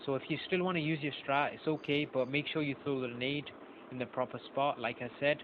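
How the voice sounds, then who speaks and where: A man's fairly high, fairly even-toned voice at a fairly quick pace, with noticeable background noise. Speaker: speedrun gamer giving feedback. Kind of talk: video commentary critique. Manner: halting, many fillers. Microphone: phone voice note.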